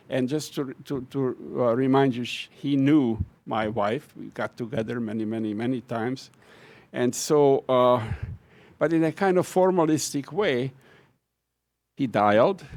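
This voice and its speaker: A man with a Hungarian accent speaks at a fairly slow pace, with ordinary pitch variation. His pauses are long and frequent. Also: medium pitch for a man. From Hungary. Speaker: professor. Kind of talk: farewell speech. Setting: auditorium with audience. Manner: halting.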